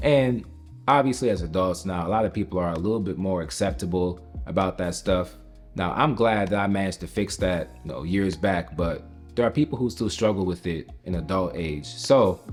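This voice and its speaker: With an American accent, a man speaks at a fairly quick pace, very deep and low in pitch, with lively intonation. Music plays behind him. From United States, Jamaican household. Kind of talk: casual talk to camera.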